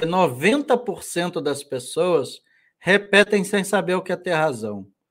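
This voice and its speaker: A man's high-pitched voice with very wide pitch swings, in a very clean recording over a silent background. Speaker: conservative commentator and book presenter. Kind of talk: casual chat. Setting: live stream.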